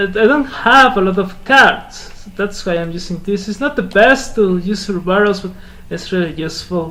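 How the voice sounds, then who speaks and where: This man's voice sits high. His words echo noticeably around the room. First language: Spanish. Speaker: gaming content creator. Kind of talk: gameplay commentary. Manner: halting.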